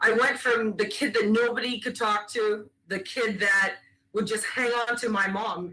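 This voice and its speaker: A woman talks loudly in a bright, sharp tone with ordinary pitch variation. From Caribbean, then British Columbia, Canada. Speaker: former national team goalkeeper, keynote speaker. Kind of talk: keynote speech.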